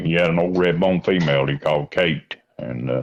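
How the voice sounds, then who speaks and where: Vocal fry with ordinary pitch variation. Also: man. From Kentucky, Mount Sterling. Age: 60s. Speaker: coon hunter. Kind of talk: casual interview. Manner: halting, many fillers.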